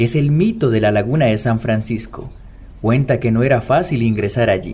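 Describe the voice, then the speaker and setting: This man's voice sits at a medium pitch, with a dark, mellow tone, a somewhat breathy quality, ordinary pitch variation and a moderate pace. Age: young. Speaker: podcast narrator. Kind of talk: scripted narration.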